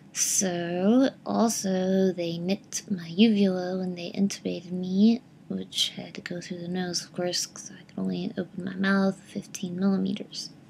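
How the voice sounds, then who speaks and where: Noticeable background noise sits under fairly slow speech that has hardly any pauses. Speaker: vlogger sharing surgery recovery. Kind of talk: casual video diary. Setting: at home in recliner. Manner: hesitant, many filler words.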